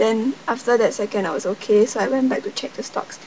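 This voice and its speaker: A woman with a Singaporean accent, fairly high in pitch, at a moderate pace amid noticeable background noise. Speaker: vlogger. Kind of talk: casual vlog storytelling. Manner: halting.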